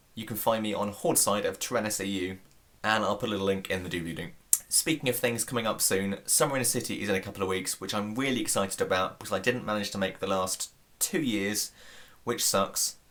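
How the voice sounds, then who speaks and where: The speaker talks at a very fast pace with a British accent. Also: man, fairly low pitch for a man, ordinary pitch variation. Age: 20s. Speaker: YouTube vlogger. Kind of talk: casual vlog. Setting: indoors at home.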